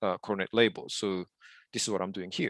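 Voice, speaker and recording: A man is heard in a dry, close sound with no echo against a quiet background. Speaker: software developer teaching a tutorial. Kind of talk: online tutorial. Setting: video call. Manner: fast, with many fillers.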